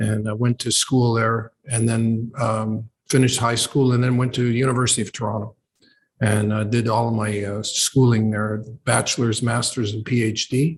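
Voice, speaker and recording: A man talks at a medium pitch with a somewhat breathy quality. His intonation stays monotone and flat. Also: moderate pace. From Canada, Ontario (Oshawa). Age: 70s. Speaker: professor. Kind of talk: interview conversation. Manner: halting, many fillers.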